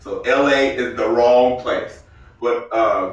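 Very slow speech from a man, noticeable background noise behind him. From Arkansas. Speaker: comedian and military veteran. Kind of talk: casual chat. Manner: animated.

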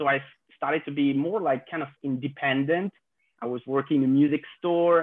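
A man speaks with a French accent. His pace is moderate. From France. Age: 20s. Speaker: content creator. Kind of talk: casual chat. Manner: halting.

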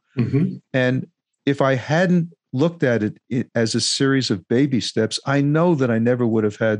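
A man's normal speaking voice, a normal speaking voice at medium pitch and moderate pace with ordinary pitch variation, dry and close with no echo over a quiet background. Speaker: musician and podcast host, former lawyer. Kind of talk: interview.

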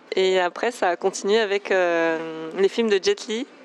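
A woman is speaking. Her pace is very slow. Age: 30s. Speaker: kung fu athlete and osteopath. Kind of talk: interview.

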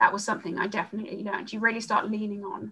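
Her voice is a woman's at medium pitch, bright and sharp in tone, with vocal fry. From South Africa, Johannesburg. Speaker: procurement manager. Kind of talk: interview.

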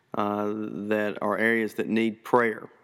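A man speaks at a medium pitch. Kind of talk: teaching talk on prayer. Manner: hesitant, filler-heavy.

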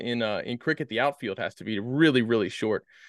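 A man's unremarkable speaking voice at a moderate pace, with ordinary pitch variation, a dry, close sound with no echo and a quiet background. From US East Coast (Maryland). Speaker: podcast host. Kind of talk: casual chat.

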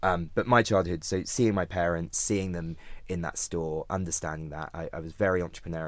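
At a very fast pace, a man with a British accent speaks in a very deep, low pitch with fairly even intonation. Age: 30s. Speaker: startup founder and CEO. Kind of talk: interview.

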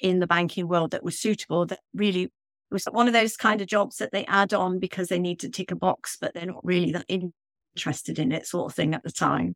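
The recording is very clean, and the background is silent. A woman talks at a medium pitch. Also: dry, close sound with no echo. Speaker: confidence coach and author. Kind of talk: casual interview.

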